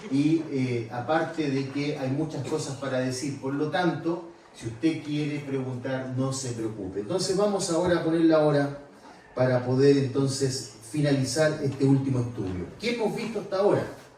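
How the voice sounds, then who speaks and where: Over audible room echo and noticeable background noise, a man with a Chilean accent speaks at a moderate pace in a fairly high voice with ordinary pitch variation. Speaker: preacher. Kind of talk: sermon. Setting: church retreat conference.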